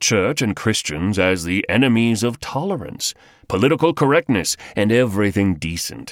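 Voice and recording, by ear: The voice sounds natural. It is reading text aloud.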